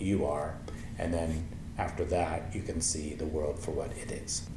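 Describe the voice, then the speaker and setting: A man talks at a fairly slow pace with audible room echo around him. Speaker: meditation teacher. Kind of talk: tutorial. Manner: halting.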